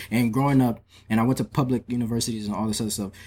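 A man talks with an American accent. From Metro Atlanta, Georgia (Ivorian American family). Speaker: visual artist. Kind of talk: casual interview chat.

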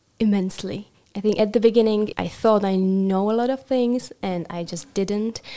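A woman's medium-pitched voice with a Czech accent, dark and mellow in tone, at a moderate pace with fairly even intonation. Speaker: rabbinical student. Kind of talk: interview.

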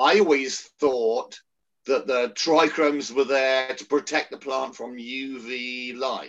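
Speaking at a very slow pace with an English accent, a man keeps a medium pitch and fairly even intonation while his loudness swings widely. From England. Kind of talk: casual chat.

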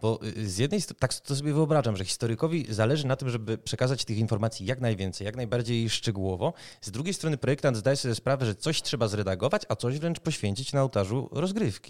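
Very fast speech with lively intonation and hardly any pauses, on a very clean recording with a silent background. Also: man, medium pitch for a man. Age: 30s. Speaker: podcast host, games journalist. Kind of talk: interview.

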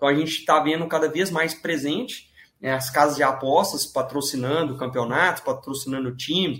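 A plain, everyday voice from a man, fairly high in pitch, at a moderate pace. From Minas Gerais, Brazil (Divinópolis, near Belo Horizonte). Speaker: sports betting trader. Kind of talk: podcast interview.

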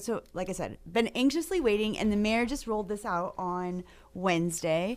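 A plain, everyday voice speaks at a moderate pace with ordinary pitch variation, in a very clean recording with a silent background. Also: woman. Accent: American. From Maine, US. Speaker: realtor association government affairs director. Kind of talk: radio interview.

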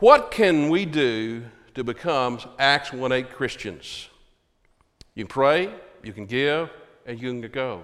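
Using a Texan accent, a man speaks very slowly at medium pitch with lively intonation, long, frequent pauses and big swings in loudness. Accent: Texan Southern American. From Texas (Hearst, near Fort Worth). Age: 70s. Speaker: Baptist pastor. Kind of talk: sermon. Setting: church.

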